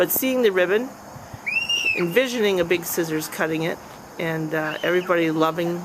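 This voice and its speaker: A woman's fairly low-pitched voice with ordinary pitch variation, amid noticeable background noise. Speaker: amateur videographer filming a community event. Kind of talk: casual video diary narration to a friend. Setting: outdoors.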